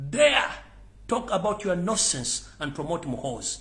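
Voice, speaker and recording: With a Ugandan accent, a man speaks with lively intonation amid audible room echo. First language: Luganda. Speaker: political commentator. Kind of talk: live political rant. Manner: loud; animated.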